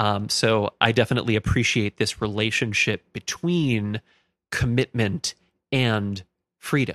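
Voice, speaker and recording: Speaking at a fairly slow pace in a plain, everyday voice, a man with an American accent has a medium pitch and ordinary pitch variation, captured in a very clean recording with a silent background and a dry, close sound with no echo. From Minnesota, US Midwest. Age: 30s. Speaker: religious studies graduate. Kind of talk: casual interview.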